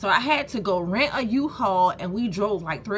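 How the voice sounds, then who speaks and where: A woman's lively intonation at a moderate pace. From US South, Savannah, Georgia. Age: 30s. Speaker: small business owner and vlogger. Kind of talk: casual vlog storytime. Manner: animated.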